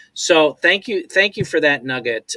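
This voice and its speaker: Bright and sharp in tone, the voice moves at a fairly slow pace with a dry, close sound and no echo. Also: man. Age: 60s. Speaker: talk show host. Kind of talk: show outro; interview. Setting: live stream.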